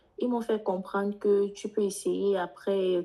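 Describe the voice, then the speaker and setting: In a monotone, flat intonation, a woman with a dark, mellow tone and medium pitch speaks at a fairly quick pace. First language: English (speaking French). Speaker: international student, participant. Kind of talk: question to speaker. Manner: halting.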